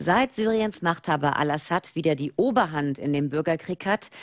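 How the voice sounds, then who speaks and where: A woman at a moderate pace with lively intonation against a quiet background. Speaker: news anchor. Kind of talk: TV news presentation. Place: studio. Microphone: lapel.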